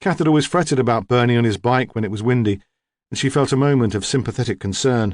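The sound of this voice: Against a quiet backdrop, the pitch of an unforced reading voice rises and falls in an ordinary way.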